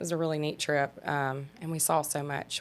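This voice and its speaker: In a very clean recording with a silent background, a woman with a very deep, low pitch speaks at a moderate pace in a monotone, flat intonation. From Mississippi. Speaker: travel agent. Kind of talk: interview.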